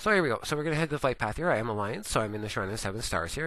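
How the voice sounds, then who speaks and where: Against a quiet background, a man with a Canadian accent speaks in a bright, sharp tone with ordinary pitch variation. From Canada. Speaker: gaming video creator. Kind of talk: gameplay tutorial. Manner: cheery.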